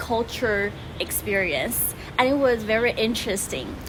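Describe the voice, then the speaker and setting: With noticeable background noise behind her, a woman in a Chinese accent speaks at a fairly high pitch with ordinary pitch variation. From Taiwan. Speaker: language-learning vlogger. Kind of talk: casual vlog talk.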